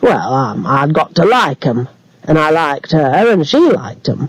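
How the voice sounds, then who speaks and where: A put-on character voice in a Yorkshire accent rumbles along at a moderate pace. Its pitch swings very widely. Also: man, fairly high pitch for a man. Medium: read story. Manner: grunting, grumbling.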